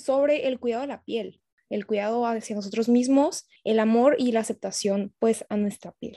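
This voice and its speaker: A fairly high-pitched woman's voice, dark and mellow in tone, with fairly even intonation at a moderate pace, dry and close with no echo, over a quiet background. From Tijuana, Mexico. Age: 20s. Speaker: medical student and skincare entrepreneur. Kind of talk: casual chat.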